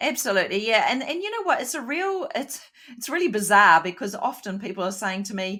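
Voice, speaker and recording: A woman with a fairly high pitch talks at a fairly quick pace in a bright, sharp tone, her pitch swinging very widely. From New Zealand. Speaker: podcast co-host. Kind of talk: casual podcast chat.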